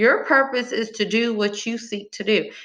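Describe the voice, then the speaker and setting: A woman's fairly high, bright, sharp voice in a strong Texas accent at a moderate pace. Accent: strong rural Texas country. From rural Texas, small town. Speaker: motivational speaker. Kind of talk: motivational monologue. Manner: animated.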